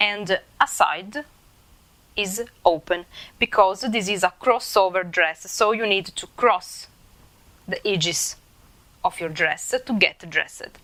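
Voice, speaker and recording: A woman's medium-pitched voice, bright and sharp in tone, at a very slow pace with long, frequent pauses and ordinary pitch variation. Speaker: sewing content creator. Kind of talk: tutorial. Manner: halting with fillers.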